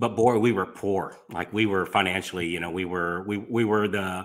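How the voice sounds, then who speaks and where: In a very clean recording with a silent background, a man with a fairly low pitch uses an ordinary speaking voice, ordinary pitch variation and a moderate pace. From Florida, US South. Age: 60s. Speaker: mortgage business coach and podcast host. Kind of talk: interview storytelling.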